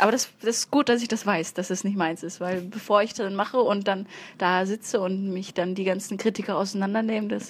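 The voice is a normal speaking voice. It moves at a fairly quick pace with fairly even intonation. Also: woman. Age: 20s. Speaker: stand-up comedian. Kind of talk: casual chat.

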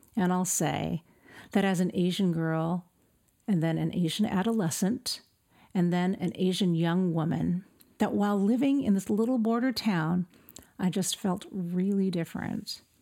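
A woman speaks at a moderate pace with a dark, mellow tone at medium pitch. Her loudness is very even, with ordinary pitch variation, in a very clean recording with a silent background. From Southern California (El Centro). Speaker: pastor. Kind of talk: testimony.

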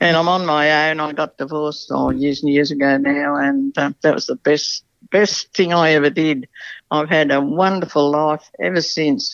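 Woman with an Australian accent, very deep and low in pitch, ordinary pitch variation, moderate pace. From rural New South Wales, Australia. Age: old. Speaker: city resident sharing life story. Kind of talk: casual interview.

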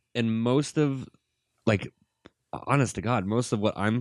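A plain, everyday voice from a man at a moderate pace, with ordinary pitch variation and a dry, close sound with no echo. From US Midwest (Gary, Indiana, near Chicago). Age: 20s. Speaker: filmmaker. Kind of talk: casual chat.

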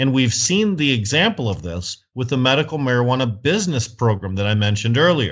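A man with a Michigan accent at a medium pitch, fairly quick and with hardly any pauses, his pitch swinging very widely. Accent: US Midwest (Michigan). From Michigan, Flint. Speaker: cannabis activist and entrepreneur. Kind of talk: interview. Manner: hesitant fillers (uh).

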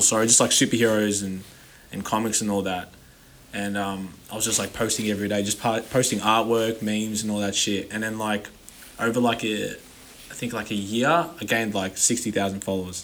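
A man talks at a fairly quick pace in a fairly low pitch with an American accent. His pitch variation is ordinary, and there is noticeable background noise. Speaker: rapper. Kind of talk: casual chat.

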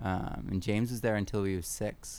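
A man speaks in a normal speaking voice with an American accent, pitched fairly low. His intonation is fairly even and his pace moderate. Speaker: podcast host and permaculture teacher. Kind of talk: casual conversation.

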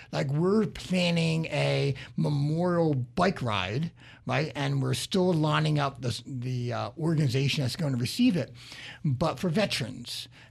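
On a very clean recording with a silent background, a somewhat breathy man speaks at a fairly slow pace and medium pitch with very wide pitch swings. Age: 50s. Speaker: radio host, business coach. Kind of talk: radio talk show. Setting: radio studio.

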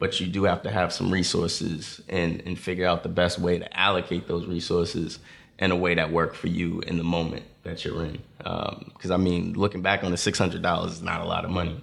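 A man with an American accent speaks in a very deep, low pitch. His delivery is fairly quick, with monotone, flat intonation. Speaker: apparel company co-founder. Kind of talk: casual interview chat.

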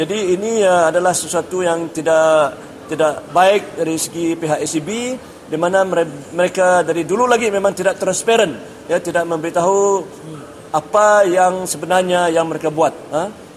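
Speaking at a moderate pace with fairly even intonation, a man with a high pitch is heard over noticeable background noise. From Sarawak, Baram. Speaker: community activist. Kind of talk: field interview.

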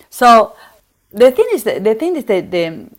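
A woman is speaking. She has an Argentine accent. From Argentina, Buenos Aires. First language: Spanish. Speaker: former dancer and photographer. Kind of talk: interview. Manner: halting.

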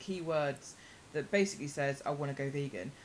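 The woman talks at a fairly quick pace. Her pitch variation is ordinary. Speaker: vegan podcast host. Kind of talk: casual interview chat. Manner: quieter than expected, loud when needed.

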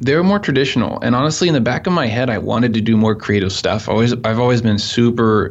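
Over noticeable background noise, a man at medium pitch speaks at a very fast pace with hardly any pauses, ordinary pitch variation and very even loudness. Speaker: photographer. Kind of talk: casual interview.

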